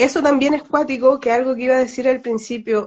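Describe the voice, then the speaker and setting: Flat, monotone delivery from a woman in a Chilean accent. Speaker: astrologer. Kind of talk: casual live-stream discussion.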